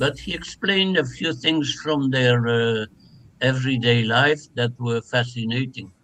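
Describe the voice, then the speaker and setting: In a Flemish Belgian accent, a man speaks at a medium pitch with a bright, sharp tone and ordinary pitch variation. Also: fairly slow pace. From Flanders, Belgium. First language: Dutch. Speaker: translation studies professor. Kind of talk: academic interview.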